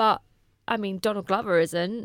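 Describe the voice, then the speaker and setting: A woman speaks at a medium pitch in a British accent, her intonation monotone and flat. The recording is very clean with a silent background, and the sound is dry and close with no echo. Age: 30s. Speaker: podcast co-host. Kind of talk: casual chat. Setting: studio.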